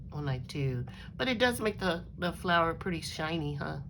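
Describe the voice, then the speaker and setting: A woman speaks with vocal fry at a fairly low pitch, and the room echo is audible. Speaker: crafting YouTuber. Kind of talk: casual craft show-and-tell. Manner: hesitant, many fillers.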